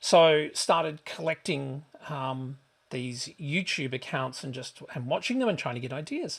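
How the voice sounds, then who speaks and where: Somewhat breathy, a man with an Australian accent talks with big swings in loudness and ordinary pitch variation. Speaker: travel vlogger. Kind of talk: casual vlog monologue. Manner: hesitant, many fillers.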